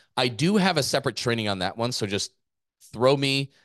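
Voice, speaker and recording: An ordinary speaking voice from a man at medium pitch and a fairly quick pace, with a dry, close sound, no echo and a quiet background. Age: 40s. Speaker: gym owner and business coach podcast host. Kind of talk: business podcast presentation.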